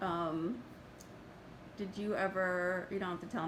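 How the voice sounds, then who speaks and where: There is noticeable background noise and audible room echo. A woman talks at a moderate pace and a medium pitch. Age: 50s. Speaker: social services worker. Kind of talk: interview.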